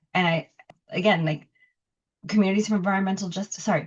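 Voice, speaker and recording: A woman with an American accent, somewhat breathy and fairly low in pitch, ordinary pitch variation, quiet background. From Los Angeles, Bell Gardens. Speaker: poet and professor. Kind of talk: interview.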